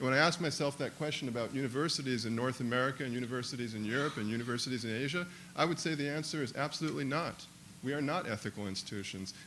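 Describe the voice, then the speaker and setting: With a bright, sharp tone, a man talks at a very fast pace in a medium pitch with ordinary pitch variation, and the room echo is audible. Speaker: professor. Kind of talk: audience question at panel. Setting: conference panel with audience.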